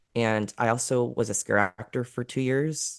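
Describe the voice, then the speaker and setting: Quiet and at a moderate pace, a man with a medium pitch and fairly even intonation speaks in a dry, close sound with no echo. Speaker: escape room game master. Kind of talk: podcast interview. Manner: reserved, on the quiet side; calm.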